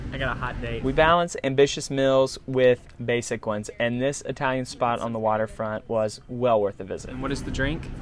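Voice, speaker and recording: A man with a Southern US accent speaks at a moderate pace and medium pitch with fairly even intonation. Noticeable background noise runs under his voice. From US South. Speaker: travel vlogger. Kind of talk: casual travel vlog.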